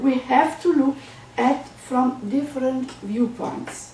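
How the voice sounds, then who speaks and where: Speaking with a German accent at a fairly slow pace, a woman uses a high pitch, heard through audible room echo and noticeable background noise. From Germany. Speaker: psychoanalyst. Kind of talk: lecture. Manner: formal.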